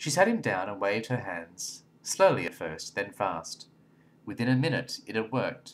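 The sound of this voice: The delivery is an unforced reading voice.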